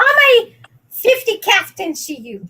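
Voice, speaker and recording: A bright, sharp tone carries through a raised, projected voice. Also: woman. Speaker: live-stream guest. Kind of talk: casual chat. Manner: loud.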